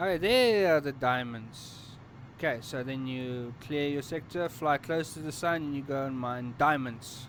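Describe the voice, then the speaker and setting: A man with a South African accent, fairly high in pitch, at a fairly slow pace with ordinary pitch variation. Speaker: gaming streamer. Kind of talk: gameplay tutorial. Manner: casual, conversational.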